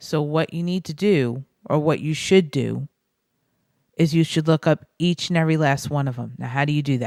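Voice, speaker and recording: In a very clean recording with a silent background and a dry, close sound with no echo, a woman with a very deep, low pitch speaks at a moderate pace, with fairly even intonation and long, frequent pauses. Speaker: political video blogger. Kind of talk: casual political talk to camera. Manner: halting, frequent pauses.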